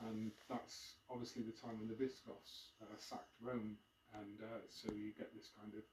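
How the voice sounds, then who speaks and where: Somewhat breathy and medium in pitch, a man speaks in a monotone with flat intonation. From Devon, South West England (Plymouth). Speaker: author and former journalist giving a history talk. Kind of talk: public talk. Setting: live event with audience. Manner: hesitant, many fillers.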